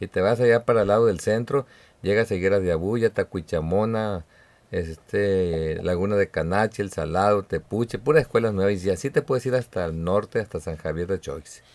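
A man with a normal speaking voice, ordinary pitch variation and a moderate pace. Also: fairly low pitch for a man. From Mexico, Sinaloa (Badiraguato); Sinaloa, Mexico. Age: 50s. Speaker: political candidate; candidate. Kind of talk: radio interview. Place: studio. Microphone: studio mic.

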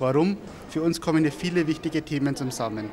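The speech comes at a very fast pace over light background noise. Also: man. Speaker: company spokesperson. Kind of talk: interview answer. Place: hall. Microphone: handheld.

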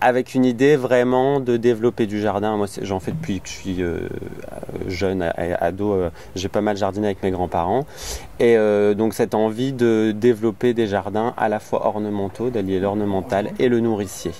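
This man has a normal speaking voice, fairly low in pitch with ordinary variation, delivered at a moderate pace in a dry sound with no echo over light background noise. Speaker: interviewee. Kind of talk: interview answer. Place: garden.

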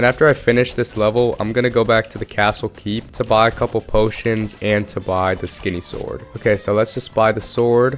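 Medium-pitched male voice at a fairly quick pace, with music in the background. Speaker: gaming YouTuber. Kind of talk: casual gameplay commentary.

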